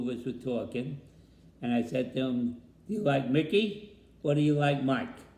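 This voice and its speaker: In a New York accent, a man with a dark, mellow tone speaks at a moderate pace amid audible room echo. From New York City, the Bronx. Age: 80s+. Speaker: grandfather interviewed about family history. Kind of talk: family interview.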